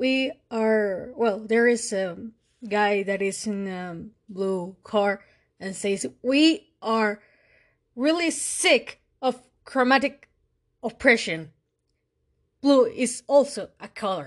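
A woman with a Mexican accent speaks very slowly, with long, frequent pauses, a fairly high pitch, lively intonation and big swings in loudness. The background is quiet. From Mexico. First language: Spanish. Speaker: podcast host. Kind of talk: monologue analysis. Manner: halting with fillers.

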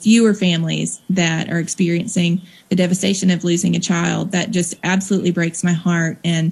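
With a Southern US accent, a woman talks at a fairly low pitch in a monotone, flat way, with noticeable background noise. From Mississippi, US South. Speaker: nonprofit founder, drug policy advocate. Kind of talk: interview.

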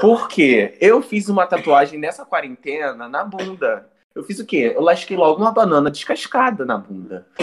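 Speaking at a moderate pace with hardly any pauses, a man with a high pitch swings very widely in pitch and makes big shifts in loudness. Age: 20s. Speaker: student podcast co-host, visual artist. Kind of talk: casual chat.

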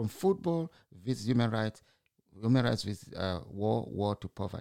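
A speaker with a Zimbabwean accent uses lively intonation, recorded very cleanly with a silent background and a dry, close sound with no echo. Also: man. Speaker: broadcaster or podcaster commenting on news. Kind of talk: solo opinion monologue. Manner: informal, halting with fillers.

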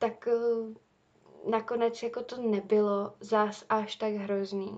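A woman speaks in a monotone, flat intonation at a fairly high pitch. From Czech Republic. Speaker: university student podcaster. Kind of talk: casual monologue.

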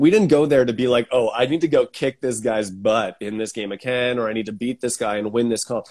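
At a fairly quick pace, this is an unremarkable speaking voice with ordinary pitch variation. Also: man, medium pitch for a man, hardly any pauses. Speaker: podcast host. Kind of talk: casual chat. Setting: video call.

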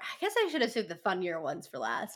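Animated and bright, sharp in tone, a woman with an American accent speaks at a fairly high pitch with vocal fry. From California. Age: 20s. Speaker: podcaster. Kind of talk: casual chat.

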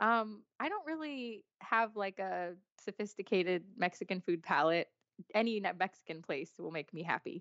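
A woman talks at a moderate pace and medium pitch with lively intonation. Hers is an unremarkable speaking voice. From US big cities. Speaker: author. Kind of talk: casual chat.

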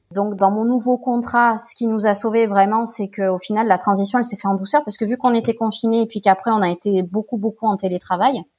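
Heard on a very clean recording with a silent background, a woman with a plain, everyday voice speaks at a fairly high pitch with fairly even intonation. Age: 30s. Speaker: guest sharing fertility treatment and work experience. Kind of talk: casual interview chat.

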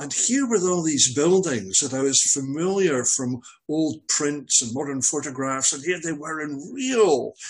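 In a Scottish accent, a man with a fairly high pitch speaks at a fairly slow pace with lively intonation and hardly any pauses. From Scottish Highlands (Glencoe). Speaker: veteran hasher and marathon runner. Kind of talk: casual interview.

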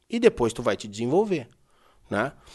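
Over a quiet background, a fairly high-pitched man with vocal fry talks at a fairly quick pace with very wide pitch swings. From Brazil, Porto Alegre (Rio Grande do Sul). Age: 30s. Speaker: horse trainer. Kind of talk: casual chat.

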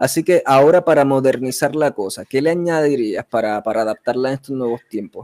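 A man's normal speaking voice of medium pitch, at a fairly quick pace with hardly any pauses, ordinary pitch variation, and a dry, close sound with no echo. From Puerto Rico (Vega Baja). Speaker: podcast host. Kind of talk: interview.

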